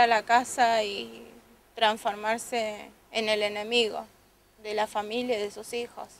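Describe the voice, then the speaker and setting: Strained and very slow, a woman speaks at a fairly high pitch in monotone, flat intonation, with dry sound with no echo and light background noise. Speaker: domestic violence survivor giving testimony. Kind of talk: tearful testimony, emotional account of abuse. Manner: halting, hesitant, repeating words; distressed, emotionally strained. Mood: earnest, emotional testimony. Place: street. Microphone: handheld.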